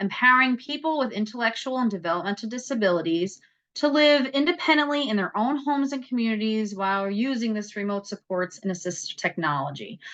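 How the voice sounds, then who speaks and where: Her bright, sharp tone carries a lively intonation at a fairly high pitch. The woman talks at a fairly quick pace with hardly any pauses. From New York. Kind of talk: presentation. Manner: fast.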